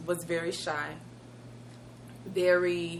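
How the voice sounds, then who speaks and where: There is audible room echo as a woman speaks in a fairly low pitch. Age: middle-aged. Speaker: co-host. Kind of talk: casual chat.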